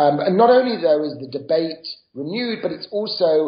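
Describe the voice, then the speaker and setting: With a British accent, a man talks at a moderate pace and ordinary pitch variation. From Britain. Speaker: author and professor. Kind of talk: interview.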